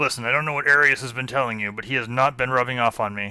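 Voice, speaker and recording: A raspy, medium-pitched put-on character voice from a man, delivered at a very fast pace. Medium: actual play. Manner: nervous, stammering, hesitant.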